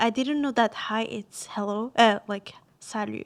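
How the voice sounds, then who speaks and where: A woman with a Quebec accent, fairly high-pitched for a woman, at a moderate pace in a flat monotone. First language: French. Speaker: university student. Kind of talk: casual chat. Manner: halting.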